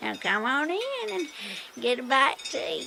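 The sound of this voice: A woman puts on a high-pitched character voice with a bright, sharp tone, vocal fry and big pitch swings, moving at a moderate pace over faint background noise.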